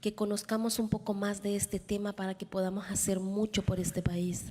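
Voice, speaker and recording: Somewhat breathy and very fast, a woman talks at a medium pitch in a monotone, flat intonation. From El Salvador. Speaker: panelist, formerly detained immigrant. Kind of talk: panel talk through an interpreter. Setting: conference hall with audience.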